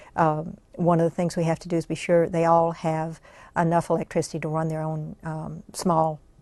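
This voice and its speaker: A woman speaks in a normal speaking voice, pitched fairly low, at a moderate pace. The background is quiet. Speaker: congressional press gallery director. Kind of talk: oral history interview answer.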